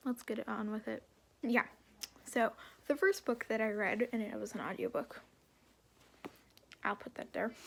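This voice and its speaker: A woman speaks at a moderate pace with long, frequent pauses. Her fairly high voice has vocal fry and ordinary pitch variation. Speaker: booktuber. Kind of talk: casual vlog monologue. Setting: at home under a loft. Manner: halting, many fillers.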